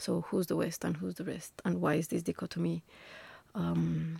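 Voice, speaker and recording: Speaking with a Spanish accent, a woman keeps a moderate pace. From Colombia, Bogota. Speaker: architecture lecturer. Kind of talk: interview. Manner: hesitant, many fillers.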